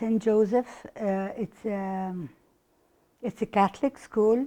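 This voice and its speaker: Her tone is dark and mellow. The woman speaks at a fairly slow pace with fairly even intonation. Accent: Arabic. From Egypt, Cairo. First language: Arabic. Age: 60s. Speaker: oral history interviewee. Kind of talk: interview. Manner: halting.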